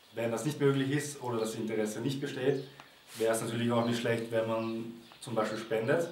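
With light background noise and audible room echo, a man talks at a moderate pace with long, frequent pauses. His pitch is medium, and his intonation is fairly even. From Austria, Vienna. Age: 20s. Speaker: volunteer at animal sanctuary. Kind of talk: testimonial appeal to camera. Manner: halting, with fillers and repetitions. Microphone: camera far.

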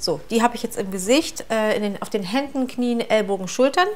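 With faint music in the background, a woman speaks at a moderate pace with ordinary pitch variation. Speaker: vlogger. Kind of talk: casual routine vlog chat.

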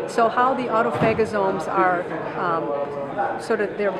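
A woman speaks at a moderate pace. Crowd noise is audible in the background. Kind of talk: interview answer. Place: hall.

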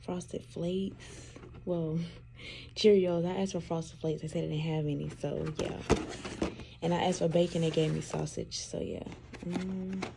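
Over music in the background, a woman with a fairly low pitch talks at a moderate pace in a flat monotone, leaving long, frequent pauses. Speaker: new mother vlogger. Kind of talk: casual vlog chat.

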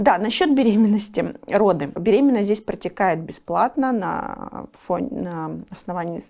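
A woman's medium-pitched voice with vocal fry, a dark, mellow tone, lively intonation and a fairly slow pace. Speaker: volunteer and business owner. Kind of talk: interview. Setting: studio.

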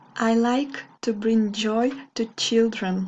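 This woman speaks with a Russian accent. Her intonation is fairly even. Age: 20s. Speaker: English teacher. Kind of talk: video monologue. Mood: warm, smiling. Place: home room. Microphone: webcam.

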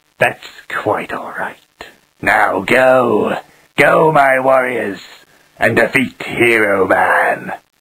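In a raspy, cartoonish character voice, a man speaks at medium pitch and a very slow pace with long, frequent pauses. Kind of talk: cartoon villain parody. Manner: grandiose, theatrical.

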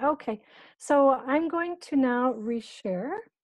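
Dry with no echo over a quiet background, a woman with an American accent speaks in a dark, mellow tone with ordinary pitch variation. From United States. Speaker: business and team coach, former professional basketball player; team coach. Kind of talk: workshop presentation. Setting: video call. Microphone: video call.

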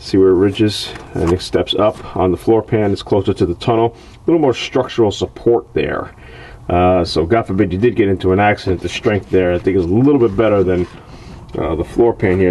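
A man with a fairly low pitch talks at a fairly quick pace in an unremarkable speaking voice. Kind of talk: tutorial. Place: garage.

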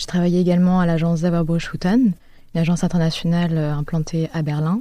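A woman talks at a fairly low pitch with a dark, mellow tone. Her pace is fairly quick, and the recording is very clean with a silent background. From Paris, France. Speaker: architect. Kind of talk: interview. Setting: around a table.

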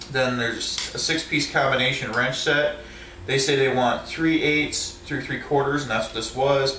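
There is light background noise and audible room echo as a man speaks with fairly even intonation. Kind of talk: casual show-and-tell tutorial. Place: home room. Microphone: phone near.

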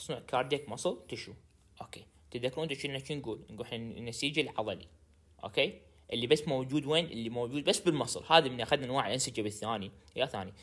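At a fairly quick pace, a man speaks in an animated tone at medium pitch with ordinary pitch variation. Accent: Baghdadi. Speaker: pharmacy tutor. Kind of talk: lecture.

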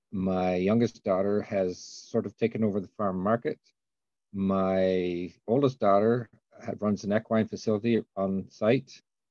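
Over a quiet background, a man speaks with a dark, mellow tone and fairly even intonation in a dry sound with no echo. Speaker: panelist. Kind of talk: self-introduction on a webinar panel. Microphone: video call.

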